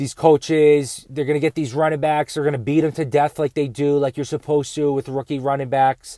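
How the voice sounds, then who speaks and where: A man's fairly high voice, dark and mellow in tone, with monotone, flat intonation. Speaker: fantasy football podcast host. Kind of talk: solo sports podcast commentary.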